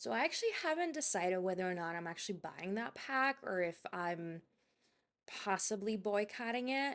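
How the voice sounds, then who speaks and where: Mumbling at a moderate pace, a woman speaks with lively intonation. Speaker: gaming youtuber. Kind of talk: voiceover commentary. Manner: halting, self-described stutter and mumble; hesitant.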